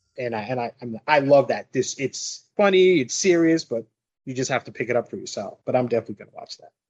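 With an American accent, a fairly high-pitched man speaks very fast, his intonation lively and his loudness swinging widely. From New York. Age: 40s. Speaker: podcast guest. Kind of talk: casual chat.

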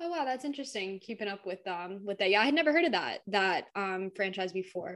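With an American accent and a plain, everyday voice, a woman talks at a fairly quick pace and medium pitch, with lively intonation and hardly any pauses. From Southwest Florida. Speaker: podcast co-host. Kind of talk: casual chat.

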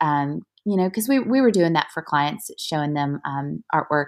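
This woman's voice sits very deep and low. Her recording is very clean, and the background is silent. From Louisville, Kentucky. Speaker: art business founder. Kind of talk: interview. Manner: halting, many fillers.

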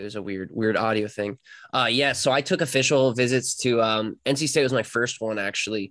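Delivered at a fairly quick pace with ordinary pitch variation, a plain, everyday voice comes through over a quiet background. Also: man, medium pitch for a man. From US South, North Carolina. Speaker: competitive swimmer. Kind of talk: interview. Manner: casual.

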